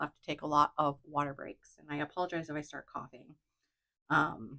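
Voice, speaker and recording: Speaking at a fairly quick pace, a woman with a very deep, low pitch and a bright, sharp tone keeps her intonation fairly even while her loudness swings widely. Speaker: craft video creator. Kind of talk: casual chat.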